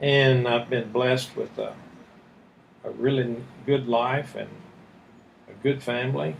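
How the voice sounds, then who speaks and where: A man's medium-pitched, somewhat breathy voice at a fairly slow pace, with ordinary pitch variation and long, frequent pauses. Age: 70s. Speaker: retired army general. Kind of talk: casual interview about life story.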